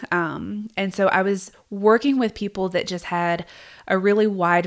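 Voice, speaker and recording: A woman speaks with a Southern US accent. Her intonation stays fairly even. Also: very clean recording, silent background. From US South, South Georgia. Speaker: podcast host and therapist. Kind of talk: casual monologue.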